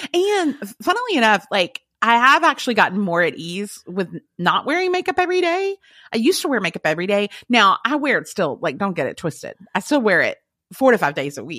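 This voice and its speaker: On a very clean recording with a silent background, a woman with a fairly high pitch talks at a fairly quick pace in an animated, bright, sharp tone with vocal fry and very wide pitch swings. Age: 40s. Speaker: podcaster guest. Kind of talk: casual chat.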